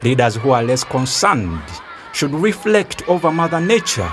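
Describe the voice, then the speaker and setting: Music plays in the background. A man's pitch swings very widely. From Uganda. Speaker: spoken word poet and environmental activist. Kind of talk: spoken word poetry performance.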